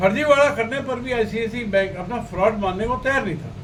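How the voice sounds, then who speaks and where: A high-pitched male voice with ordinary pitch variation, audible room echo and noticeable background noise. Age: 70s. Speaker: lawyer and party leader. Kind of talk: video address to the public. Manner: halting, self-correcting.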